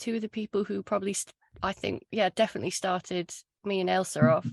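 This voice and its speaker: A woman with a South Wales accent at a fairly quick pace, in dry, close sound with no echo. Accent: Welsh, Glamorgan. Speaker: podcast host. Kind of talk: casual chat.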